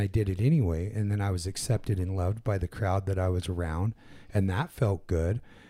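This man talks at a moderate pace, his fairly low voice dark and mellow in tone. The recording is very clean, with a silent background. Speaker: podcast co-host. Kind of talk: casual chat. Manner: animated, profane, laughs often.

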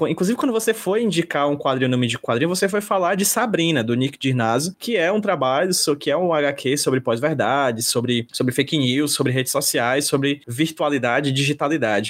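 An ordinary speaking voice moves at a fairly quick pace. There are hardly any pauses. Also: man, fairly high pitch for a man, lively intonation, very even loudness. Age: 30s. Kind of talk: interview.

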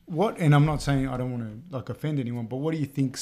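A man speaks at a medium pitch with a dark, mellow tone, fairly even intonation, and an Australian accent. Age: 30s. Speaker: podcast host and teacher. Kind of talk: casual interview. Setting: studio.

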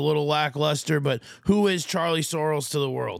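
Heard on a very clean recording with a silent background, a man with an American accent uses a normal speaking voice, a fairly high pitch and a moderate pace. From Minnesota, Fairmont area. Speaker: podcast host, coach. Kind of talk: casual chat.

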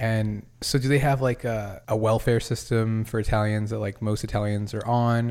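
A man with an American accent speaks at medium pitch in a monotone, flat intonation, at a moderate pace with hardly any pauses. The recording is very clean, with a silent background. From New England, Massachusetts. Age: 20s. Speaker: podcast host. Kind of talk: casual chat.

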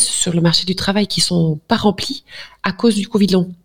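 Medium-pitched female voice with vocal fry, fairly slow. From Flanders, Belgium. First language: Dutch (speaking French). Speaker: general practitioner. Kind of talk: interview.

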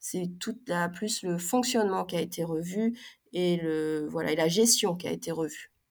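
A woman speaks with a fairly low pitch and ordinary pitch variation. Her pace is fairly slow, and the recording is very clean, with a silent background. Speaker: sports company CEO. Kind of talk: interview. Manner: halting, many fillers.

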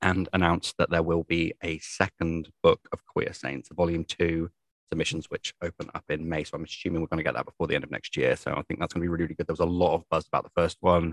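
A man with a southern English accent, very fast with hardly any pauses, in a dry, close sound with no echo. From southern England. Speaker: podcast co-host. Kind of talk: casual chat. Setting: remote recording.

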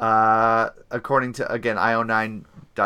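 The passage is read in an unforced reading voice.

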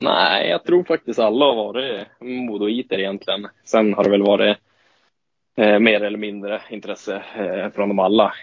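A man talks at a moderate pace. His voice is fairly low in pitch, with fairly even intonation. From northern Sweden, Åsele (Lapland). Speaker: ice hockey player. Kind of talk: interview. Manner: halting.

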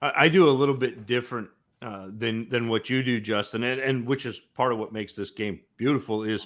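Using a normal speaking voice, a man at medium pitch talks at a fairly quick pace with ordinary pitch variation in a very clean recording with a silent background. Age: 40s. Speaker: fantasy football analyst. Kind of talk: casual chat.

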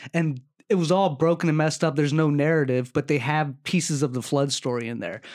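A man at a fairly high pitch, very fast pace, and a slight Maryland accent. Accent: light Maryland accent, heard as country. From Maryland, US. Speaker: podcast co-host. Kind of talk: casual chat.

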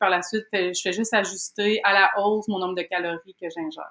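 Her tone bright and sharp, a woman speaks at medium pitch and a moderate pace with fairly even intonation. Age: 30s. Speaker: program participant. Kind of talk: interview. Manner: hesitant, many fillers.

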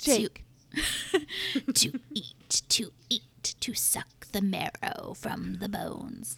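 The voice is a put-on character voice, raspy and fairly high in pitch. It moves at a very slow pace with long, frequent pauses. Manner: menacing.

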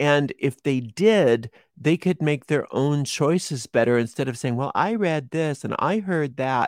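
An unremarkable speaking voice moves at a fairly slow pace with hardly any pauses and ordinary pitch variation, captured on a very clean recording with a silent background and a dry, close sound with no echo. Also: man, fairly high pitch for a man. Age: 50s. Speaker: witchcraft teacher and tarot reader. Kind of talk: interview.

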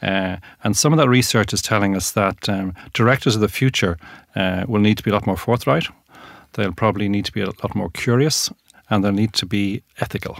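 In a very clean recording with a silent background, a man uses a normal speaking voice with a fairly low pitch at a fairly quick pace. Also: ordinary pitch variation. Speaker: governance company founder and author.

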